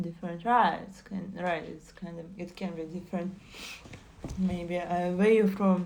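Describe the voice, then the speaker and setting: Audible room echo surrounds a woman with a Russian accent. She speaks at a fairly low pitch with monotone, flat intonation. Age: 20s. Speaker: streamer. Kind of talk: casual chat. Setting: live stream. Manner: halting.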